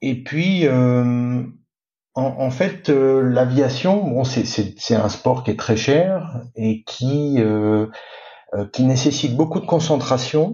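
The speaker talks very slowly. The pitch moves in an ordinary way. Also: man, medium pitch for a man. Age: 50s. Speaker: sailor. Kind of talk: interview. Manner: halting.

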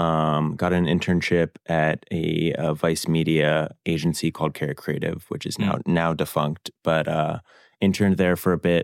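Monotone, flat delivery in an American accent at a moderate pace, on a very clean recording with a silent background. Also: man, very deep, low pitch for a man, dry, close sound with no echo. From US South, Louisville, Kentucky. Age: 20s. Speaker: cook and social media creator. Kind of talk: casual interview. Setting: studio.

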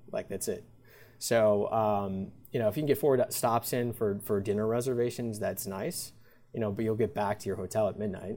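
Over music in the background, a man with an American accent talks at a moderate pace in a fairly low voice with fairly even intonation. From US Midwest, Wisconsin (Milwaukee area). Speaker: chef. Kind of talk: interview. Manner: halting.

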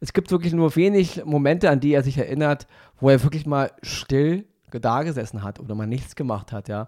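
Fairly quick in pace, a man speaks at a fairly high pitch. It is an unremarkable speaking voice. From Germany, Berlin (Wedding). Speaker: podcast co-host, film reviewer. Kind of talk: casual chat.

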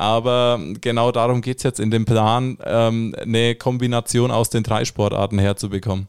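A man at a medium pitch and moderate pace, monotone and flat, with very even loudness, on a very clean recording with a silent background. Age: 20s. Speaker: triathlon beginner, amateur athlete. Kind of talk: casual interview. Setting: studio.

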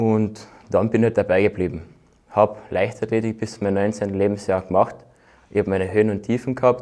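A man at a fairly quick pace, fairly low in pitch, with a dark, mellow tone and flat, monotone intonation. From Austria, Carinthia (Völkermarkt). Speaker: bobsleigh athlete. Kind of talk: casual interview.

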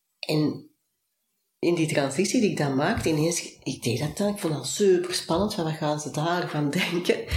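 At a moderate pace, a woman with a normal speaking voice uses a fairly low pitch that varies in an ordinary way. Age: 40s. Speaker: business coach. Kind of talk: interview.

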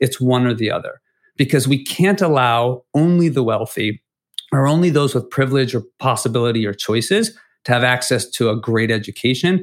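A man with an unremarkable speaking voice and medium pitch talks at a fairly quick pace with ordinary pitch variation, in a very clean recording with a silent background. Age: 40s. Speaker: education nonprofit leader, former teacher. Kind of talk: interview.

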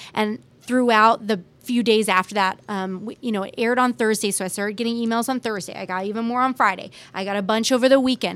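A woman talks very fast with an American accent. Her pitch is fairly high and her intonation fairly even. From US West Coast, San Francisco Bay Area. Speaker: TV reporter. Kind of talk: casual interview.

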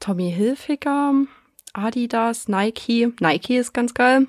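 Very slowly, a woman speaks at a fairly high pitch with ordinary pitch variation. The recording is very clean and silent behind her, with a dry, close sound and no echo. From Saxony, Germany. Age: 20s. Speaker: podcast listener, watchmaker. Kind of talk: casual chat.

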